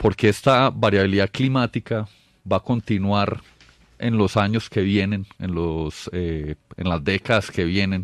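At a fairly slow pace, a man speaks with a fairly low pitch and ordinary pitch variation.

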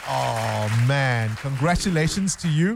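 Slow and medium-pitched, a man speaks with lively intonation and vocal fry in a dry, close sound with no echo.

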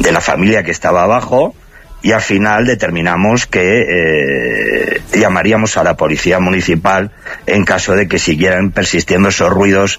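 A man's voice sits low in pitch but has a fairly bright tone. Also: ordinary pitch variation, moderate pace.

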